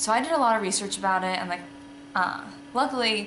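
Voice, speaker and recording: A woman speaks at a fairly quick pace with lively intonation. Noticeable background noise runs behind her. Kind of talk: casual vlog chat. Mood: candid, reflective, matter-of-fact. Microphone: phone near.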